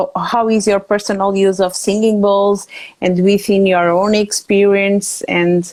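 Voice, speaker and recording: In a Portuguese accent, a woman speaks at a fairly slow pace in a medium-pitched voice. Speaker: interview host. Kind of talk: casual interview. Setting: Instagram Live video call. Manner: halting.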